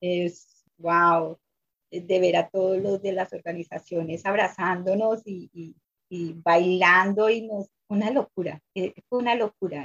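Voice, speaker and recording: This woman talks very slowly. Her voice sits at a medium pitch. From Colombia. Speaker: immigrant activist, former domestic worker. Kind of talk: interview testimony.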